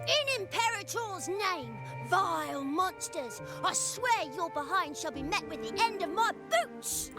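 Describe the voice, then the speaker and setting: Loud music plays in the background as a put-on character voice speaks at a fairly slow pace. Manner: angry, furious, loud.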